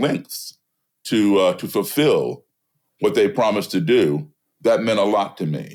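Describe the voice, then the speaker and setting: An American-accented man speaks at a fairly slow pace with vocal fry. His pitch swings very widely on a very clean recording with a silent background. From US, embassy kid raised partly abroad. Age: 60s. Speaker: blues musician and race-relations activist. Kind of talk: interview conversation.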